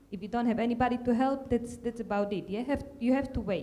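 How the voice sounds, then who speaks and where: A woman with a Slovak accent talks very fast in a fairly high voice with fairly even intonation. Noticeable background noise sits behind her. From Slovakia. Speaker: tech manager, panelist. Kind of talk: panel discussion. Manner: halting, many fillers.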